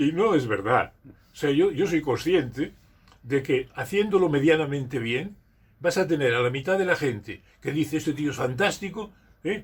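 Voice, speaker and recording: Somewhat breathy and fairly high-pitched, a man talks at a moderate pace with lively intonation. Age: 80s+. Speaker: retired school teacher and community leader. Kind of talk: interview. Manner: halting, with frequent repetitions.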